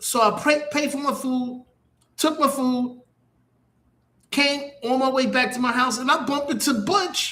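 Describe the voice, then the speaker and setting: With a New York accent, this man speaks at an extremely high pitch in a bright, sharp tone. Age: 60s. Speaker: internet radio host. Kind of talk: casual monologue.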